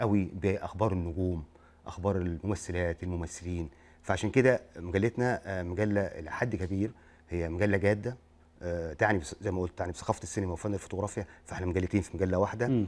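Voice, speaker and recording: A man with a very deep, low pitch talks at a moderate pace. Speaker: guest. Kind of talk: interview answer. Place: studio.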